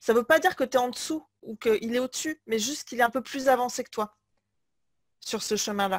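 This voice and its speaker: The speech runs at a fairly quick pace with ordinary pitch variation, in a very clean, dry, close recording with no echo and a silent background. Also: woman, high pitch for a woman. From France, Limoges. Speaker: business coach. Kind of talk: interview.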